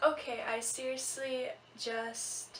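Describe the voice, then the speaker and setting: A soft-spoken woman at a very slow pace with fairly even intonation, amid audible room echo and noticeable background noise. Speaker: beauty vlogger. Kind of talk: tutorial.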